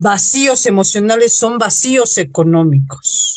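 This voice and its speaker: A woman speaks with very wide pitch swings. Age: 50s. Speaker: holistic therapist. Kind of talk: radio interview.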